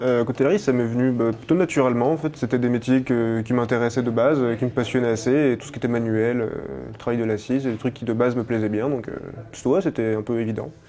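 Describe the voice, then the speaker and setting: A man talks at a very fast pace in a medium pitch. His intonation stays fairly even, and noticeable background noise can be heard. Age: 20s. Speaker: cutler, engraving specialist. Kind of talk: casual self-introduction interview. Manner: hesitant, many fillers.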